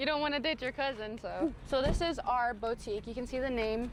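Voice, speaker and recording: A woman speaks with a fairly high pitch and fairly even intonation in a normal speaking voice. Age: 20s. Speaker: thrift shop worker. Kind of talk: interview / shop tour.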